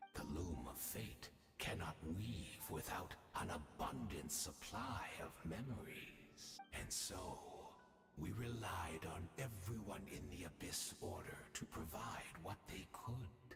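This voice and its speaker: Using a put-on character voice, a man speaks very deep and low at a fairly slow pace, with a slight echo and clear background noise. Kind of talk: video game voice acting. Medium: video game. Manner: courteous, measured, quietly manipulative.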